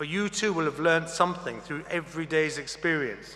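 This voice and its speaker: Noticeable background noise behind a man with a rather high voice. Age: 60s. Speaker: graduation speaker. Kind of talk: commencement speech. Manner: formal.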